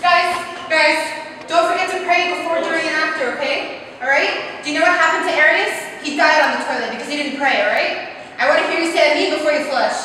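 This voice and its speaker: In a room with strong echo and light background noise, a woman uses a raised, projected voice at a very fast pace with fairly even intonation. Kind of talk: comedy sketch monologue.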